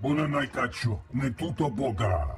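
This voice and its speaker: A man puts on a character voice at medium pitch. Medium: video game. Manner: speaks an alien language.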